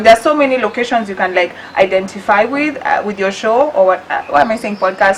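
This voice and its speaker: With noticeable background noise behind her, a woman speaks at a fairly high pitch and a fairly quick pace, with ordinary pitch variation. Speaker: podcast co-host. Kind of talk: casual chat. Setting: studio.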